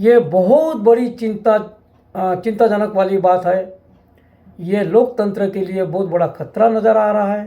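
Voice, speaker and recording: Fairly even in intonation, a man speaks at a high pitch with a dark, mellow tone. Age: 60s. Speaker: local politician, election candidate. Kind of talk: political statement to camera. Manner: halting.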